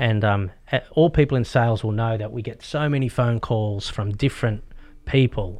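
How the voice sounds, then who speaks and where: Speaking with an Australian accent, a man uses medium pitch and ordinary pitch variation at a moderate pace. The background is quiet. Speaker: real estate agent. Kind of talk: interview. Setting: studio.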